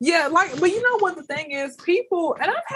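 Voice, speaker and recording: The voice is loud and animated, with very wide pitch swings. It moves at a moderate pace. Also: woman. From Atlanta, Georgia, US. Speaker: comedian. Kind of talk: casual interview chat.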